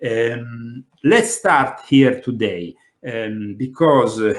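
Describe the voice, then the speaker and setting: A man talks with an Italian accent. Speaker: conspiracy talk show host. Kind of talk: panel discussion. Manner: hesitant, many fillers.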